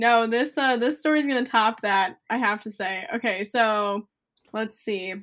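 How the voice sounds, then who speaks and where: A woman with an ordinary speaking voice talks at a fairly slow pace and fairly high pitch, with ordinary pitch variation, in a very clean recording with a silent background. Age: 20s. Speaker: photographer and college student. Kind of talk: casual chat.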